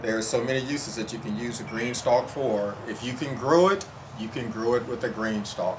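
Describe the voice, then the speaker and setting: Noticeable background noise and audible room echo surround a man at a moderate pace. His medium-pitched voice shows ordinary pitch variation. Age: 60s. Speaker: home gardener. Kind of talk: testimony. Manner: halting, with fillers.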